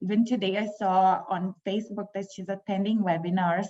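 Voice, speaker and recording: With a non-native accent, the speaker talks at a moderate pace in a dark, mellow, somewhat breathy tone with fairly even intonation. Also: woman. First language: not English. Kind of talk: panel discussion.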